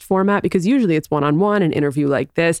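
A woman with an American accent in an animated tone, her dry, close sound with no echo on a very clean recording with a silent background. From New York City. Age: 20s. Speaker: podcaster and comedian. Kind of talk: casual chat.

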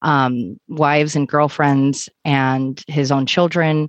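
The sound is close and dry, without any echo. An American accent is heard in the speech. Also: woman. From US Pacific Northwest, Oregon (Troutdale). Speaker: true crime podcaster. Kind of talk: casual chat.

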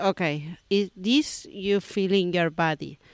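A woman with an Argentine accent speaks very slowly at a medium pitch with ordinary variation, in a dry, close sound with no echo on a very clean recording with a silent background. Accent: Argentine Spanish (Rioplatense). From Argentina, Buenos Aires. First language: Spanish. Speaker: yoga teacher. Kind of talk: casual interview. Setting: beachside yoga studio. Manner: halting, hesitant non-native English.

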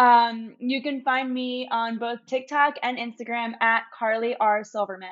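A woman with a plain, everyday voice talks at a fairly slow pace and a fairly high pitch. Her intonation is fairly even, with hardly any pauses. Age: 20s. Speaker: social media creator. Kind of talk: casual chat.

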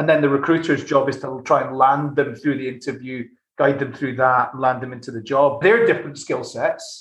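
A somewhat breathy man with a Glasgow accent, fairly high in pitch, at a moderate pace with hardly any pauses and fairly even intonation. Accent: Scottish (Glasgow). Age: 40s. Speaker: tech company CEO. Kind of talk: interview conversation.

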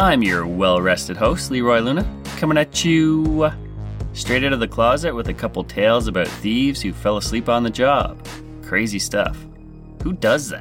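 Background music plays throughout. Over it, a man talks at a moderate pace. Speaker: podcast host. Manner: jokey, casual.

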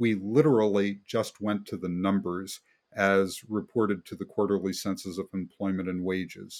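A plain, everyday voice: a man with an American accent, fairly low in pitch, at a moderate pace, on a very clean recording with a silent background. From West Virginia. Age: 60s. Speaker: economic researcher. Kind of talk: interview.

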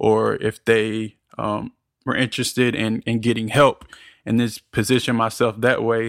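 Recorded very clean with a silent background and a dry, close sound with no echo, a man with an American accent and medium pitch speaks at a fairly slow pace in a flat monotone. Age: 20s. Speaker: podcast editor and producer. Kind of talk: interview.

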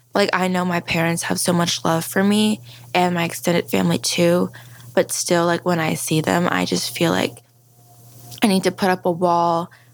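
A woman with an American accent speaks at a moderate pace in a fairly low pitch, her intonation fairly even and her loudness very even. Background noise is noticeable. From Maryland, US. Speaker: Guatemalan adoptee. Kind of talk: interview.

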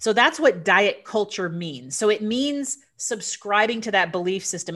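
A woman talks at a fairly slow pace in a plain, everyday voice. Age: 40s. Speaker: physician and nutrition coach. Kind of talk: casual interview.

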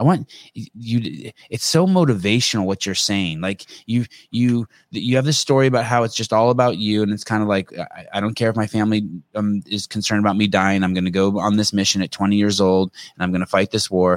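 A man with a Californian accent talks at a fairly quick pace, his fairly low voice showing ordinary pitch variation. The recording is very clean with a silent background, and the sound is dry and close with no echo. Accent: Californian American. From US West Coast, Berkeley California. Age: 50s. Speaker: podcast host. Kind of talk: casual chat. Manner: animated.

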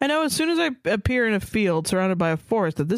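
Someone reads a passage aloud in a natural voice.

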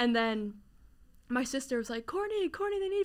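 A woman speaks with a New Jersey accent. Her pitch makes very wide swings. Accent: New Jersey American. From New Jersey, Jersey Shore / Princeton area. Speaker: sales coordinator at a sports media company. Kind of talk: casual interview. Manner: casual, filler-heavy.

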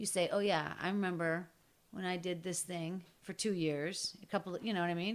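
In an American accent, a woman talks at a moderate pace with a fairly low pitch and an ordinary speaking voice. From Pittsburgh, Pennsylvania. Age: 50s. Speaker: podcaster and storyteller. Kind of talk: casual chat.

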